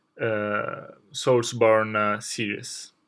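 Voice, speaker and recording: A man with a non-native accent, in a very clean recording with a silent background. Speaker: video game lore youtuber. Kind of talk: video essay. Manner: halting, many filler words.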